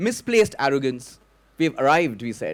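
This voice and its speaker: A man speaks with a Bengali accent. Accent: Bengali Indian English. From Kolkata, India (Bengali). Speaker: storyteller. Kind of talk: stage storytelling. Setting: stage with audience.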